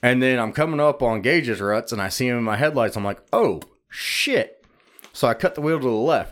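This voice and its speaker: At a moderate pace, a man with medium pitch and lively intonation uses an unremarkable speaking voice. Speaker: podcast co-host. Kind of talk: casual banter, crude comedy podcast. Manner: crude, joking, interrupts.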